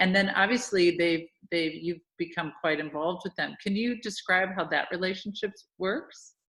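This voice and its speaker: An ordinary speaking voice with an American accent at a moderate pace. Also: woman, medium pitch for a woman, ordinary pitch variation. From United States. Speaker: charity founder and interviewer. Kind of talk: interview.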